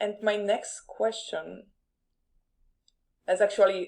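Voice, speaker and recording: A woman speaking in a Polish accent with monotone, flat intonation. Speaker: podcast host. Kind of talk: live interview.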